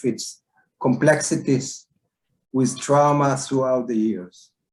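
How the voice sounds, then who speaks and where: A fairly high-pitched, somewhat breathy man's voice at a fairly slow pace, with ordinary pitch variation. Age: 70s. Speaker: psychologist, war veteran. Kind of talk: talk to online audience.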